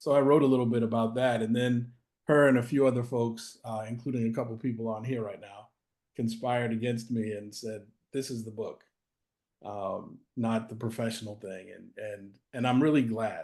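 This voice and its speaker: A man with an American accent, monotone and flat in intonation, at a moderate pace, with big swings in loudness. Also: medium pitch for a man. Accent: Boston accent, comes and goes. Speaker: author and anti-racism practitioner. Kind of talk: interview. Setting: video call.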